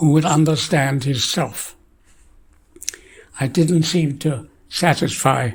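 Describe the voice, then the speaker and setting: A somewhat breathy man's voice, fairly high in pitch, very slow, with fairly even intonation and long, frequent pauses. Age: 80s+. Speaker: scientist. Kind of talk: lecture.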